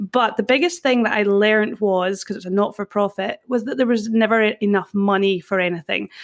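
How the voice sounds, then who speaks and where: In a Scottish accent, a woman talks at a fairly quick pace with a medium pitch and ordinary pitch variation. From Scotland. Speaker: personal brand consultant. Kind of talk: podcast interview.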